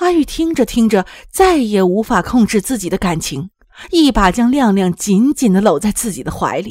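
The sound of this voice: Intonation rises and falls with plenty of life. The delivery is an unforced reading voice.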